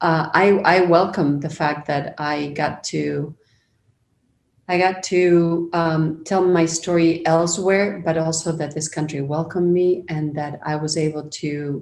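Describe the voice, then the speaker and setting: The woman's intonation is monotone and flat. She talks at a fairly slow pace. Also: fairly low pitch for a woman. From Argentina. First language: Spanish. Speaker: media professional. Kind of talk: interview conversation.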